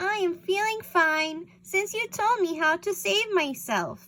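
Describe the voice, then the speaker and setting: In a put-on character voice, a woman squeaks at an extremely high pitch and a fairly slow pace. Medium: read story. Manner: timid.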